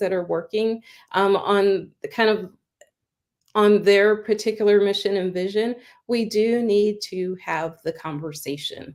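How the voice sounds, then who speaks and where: She speaks at a moderate pace. Hers is an unremarkable speaking voice, medium in pitch for a woman. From Pittsburgh, Pennsylvania. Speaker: chamber of commerce director. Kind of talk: interview.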